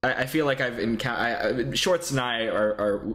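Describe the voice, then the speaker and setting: In an American accent, a man with an unremarkable speaking voice and medium pitch talks at a moderate pace with lively intonation. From Texas. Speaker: podcast co-host. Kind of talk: casual chat.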